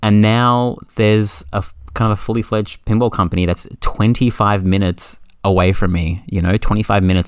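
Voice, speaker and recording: On a very clean recording with a silent background, a man with an Australian accent speaks at a fairly quick pace with ordinary pitch variation. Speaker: podcast guest, pinball player. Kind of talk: casual chat.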